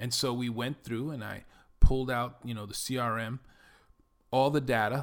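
Recorded very cleanly against a silent background, a man with a New York accent speaks at a moderate pace in a medium pitch. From Bronx, New York. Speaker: podcaster and digital marketing entrepreneur. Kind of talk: solo podcast monologue, personal introduction. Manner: confident, self-assured.

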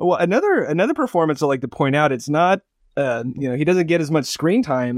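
With an unremarkable speaking voice, a man with an American accent talks in a fairly high pitch with lively intonation, recorded very cleanly against a silent background in a dry, close sound with no echo. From Barstow, California. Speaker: film podcast panelist. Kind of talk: casual chat.

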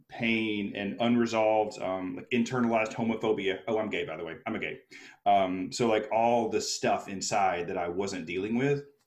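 A man with a normal speaking voice and an American accent talks at a moderate pace, fairly low in pitch, with ordinary pitch variation. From US South, Alabama. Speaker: speaker and coach. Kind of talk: casual interview.

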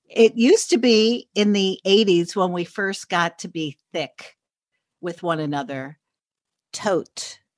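Dry and close with no echo, a woman's medium-pitched voice in an American accent moves at a very slow pace with ordinary pitch variation. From New York City, Upper East Side. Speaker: journalist and podcaster. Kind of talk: casual chat.

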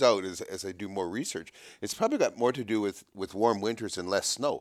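In a very clean recording with a silent background, a man speaks very fast with a Canadian accent. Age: 60s. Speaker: podcast host, trapper. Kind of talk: casual interview. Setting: in person, downtown Toronto.

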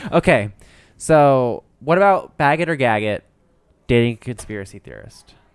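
A man's plain, everyday voice at a medium pitch, with lively intonation, big swings in loudness and a moderate pace, on a very clean recording with a silent background. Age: 20s. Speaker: podcast co-host. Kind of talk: casual chat.

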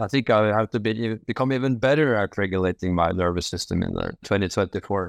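Speaking very fast with hardly any pauses, a man uses a fairly low pitch and ordinary pitch variation, with a dry, close sound with no echo and a quiet background. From Norway. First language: Norwegian. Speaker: medical doctor. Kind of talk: interview. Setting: video call. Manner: halting.

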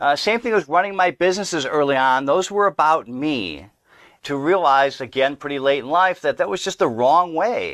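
With an American accent, a man with a plain, everyday voice and fairly high pitch speaks at a moderate pace with lively intonation, recorded dry and close with no echo against a quiet background. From US Midwest, Milwaukee, Wisconsin. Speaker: entrepreneur and speaker. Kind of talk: interview conversation. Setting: studio.

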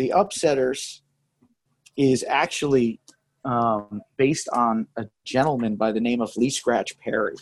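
An unremarkable speaking voice from a man with an American accent, medium in pitch with ordinary pitch variation, in a dry, close sound with no echo. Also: fairly slow pace. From Connecticut, New Haven area. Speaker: cigar maker and blender. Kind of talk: interview. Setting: cigar shop.

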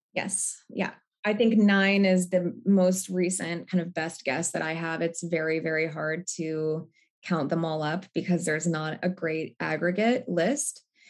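In a plain, everyday voice, a woman with an American accent talks at a fairly slow pace and a fairly low pitch, with ordinary pitch variation. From US Northwest. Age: 30s. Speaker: therapist and nonprofit leader. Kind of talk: interview.

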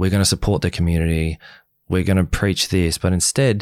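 With an Australian accent and ordinary pitch variation, a man speaks in a very deep, low voice, heard on a very clean recording with a silent background and a dry, close sound with no echo. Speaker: reality TV contestant. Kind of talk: casual interview chat. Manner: soft-spoken.

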